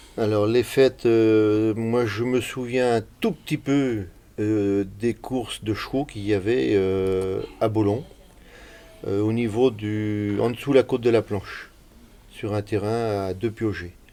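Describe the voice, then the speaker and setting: Very slowly, a man talks at a fairly low pitch. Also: fairly even intonation. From Brittany, near Rennes. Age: 70s. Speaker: village elder recalling local history. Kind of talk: oral history interview.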